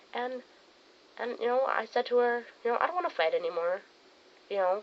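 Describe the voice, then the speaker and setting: Over noticeable background noise, a woman speaks at a fairly quick pace in a high pitch that swings very widely. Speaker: friend of the channel owner. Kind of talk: casual chat. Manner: loud.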